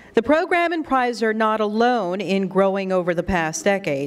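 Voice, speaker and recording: A woman speaks at a fairly slow pace. Her pitch varies an ordinary amount. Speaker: radio news anchor, event emcee. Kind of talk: emceeing a ceremony. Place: hall. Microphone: podium.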